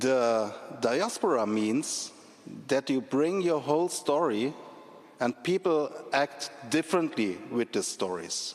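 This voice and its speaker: Over noticeable background noise, a man with a German accent speaks very slowly in a fairly high pitch with lively intonation. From Germany, Leipzig. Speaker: speaker at commemorative event. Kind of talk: public speech. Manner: halting.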